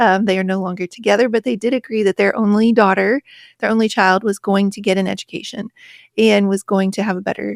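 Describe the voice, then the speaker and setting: A woman with an American accent at a medium pitch and a fairly quick pace, on a very clean recording with a silent background and a dry, close sound with no echo. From rural West Virginia. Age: 40s. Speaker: author and podcaster. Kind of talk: interview conversation.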